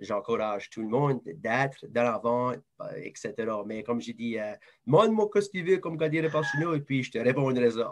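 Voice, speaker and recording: A man with an Acadian accent speaks at a moderate pace and medium pitch with lively intonation. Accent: Acadian French (southeast New Brunswick). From southeast New Brunswick, Moncton area (Acadian). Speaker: advertising sales professional. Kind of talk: interview.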